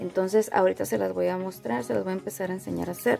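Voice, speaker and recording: A woman with clear music in the background. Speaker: craft channel host. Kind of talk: tutorial. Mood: friendly, relaxed.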